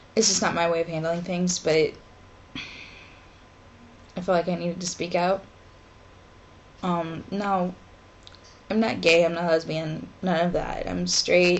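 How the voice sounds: A woman speaks fairly slowly at a fairly low pitch with little pitch movement, leaving long, frequent pauses.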